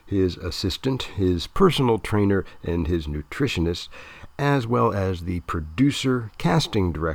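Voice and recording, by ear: With lively intonation, the passage is read aloud in a natural voice.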